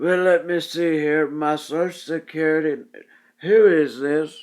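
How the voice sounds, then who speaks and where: A man puts on a shaky character voice, fairly high in pitch, fairly slow, with fairly even intonation. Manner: confused.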